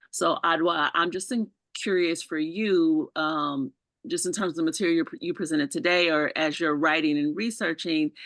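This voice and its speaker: In an American accent, a woman uses an ordinary speaking voice at a fairly low pitch, with ordinary pitch variation and a moderate pace. The sound is dry and close with no echo, over a quiet background. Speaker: licensed psychologist. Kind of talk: audience question in webinar.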